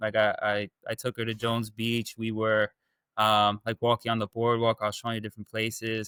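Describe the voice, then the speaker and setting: A man with a Long Island accent at a medium pitch, bright and sharp in tone, at a fairly quick pace, with a dry, close sound, no echo, and a very clean recording over a silent background. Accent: New York (Long Island). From Long Island, New York. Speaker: dating coaching client. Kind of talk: interview testimony. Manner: halting, many fillers and repeats.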